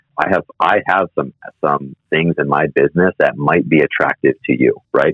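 At a moderate pace and very even loudness, a man talks with an American accent. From US Midwest and New York City. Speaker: mortgage company CEO. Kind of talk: casual interview. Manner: halting.

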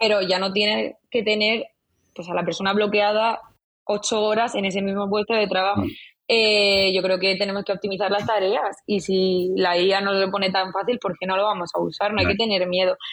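Her pitch medium, a woman talks at a moderate pace with monotone, flat intonation. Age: 20s. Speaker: marketing agency founder. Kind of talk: interview.

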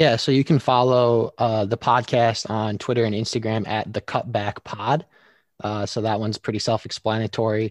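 In an American accent, a man with an unremarkable speaking voice talks at a medium pitch and a moderate pace, with fairly even intonation and a dry, close sound with no echo against a quiet background. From Michigan. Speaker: podcast host and sports professional. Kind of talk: casual interview.

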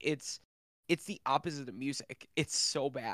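In a dry, close sound with no echo, a man with a plain, everyday voice speaks at a fairly high pitch with fairly even intonation. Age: 20s. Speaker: podcast co-host. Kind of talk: casual chat.

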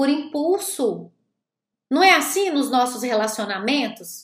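A woman with a high pitch and lively intonation talks very slowly. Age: 40s. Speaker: life coach and therapist. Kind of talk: motivational talk from a recorded live stream. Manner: animated.

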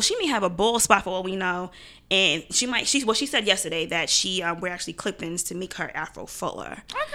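Bright and sharp in tone, a woman speaks at a fairly quick pace with very wide pitch swings. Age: 20s. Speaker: small business owner. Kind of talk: casual chat.

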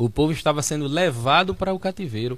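A man's fairly high voice with lively intonation. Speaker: pastor, debate panelist. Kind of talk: religious debate.

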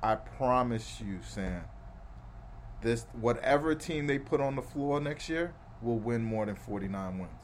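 Speaking with an American accent, a man uses an animated tone at a fairly slow pace. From New York City, Brooklyn. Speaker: sports podcast host. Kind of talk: casual chat.

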